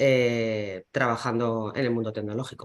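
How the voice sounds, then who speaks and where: Flat, monotone intonation sits on a woman's very deep, low pitch. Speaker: company CIO. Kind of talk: panel discussion.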